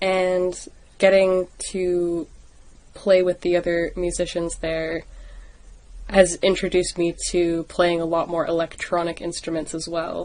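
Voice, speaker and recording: A woman with a Canadian accent speaks at a very slow pace. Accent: non-UK, Canadian. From Canada. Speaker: musician. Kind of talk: casual interview chat.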